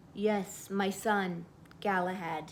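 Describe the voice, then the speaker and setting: Over clear background noise, a woman uses a hoarse put-on character voice at a medium pitch with monotone, flat intonation. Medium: read story.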